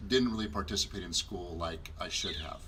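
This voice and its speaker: Against noticeable background noise, a man with a Southwestern US accent talks at a fairly quick pace. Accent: US Southwest American. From Arizona, Glendale area. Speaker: marriage ministry co-host. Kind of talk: personal testimony. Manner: hesitant, many fillers.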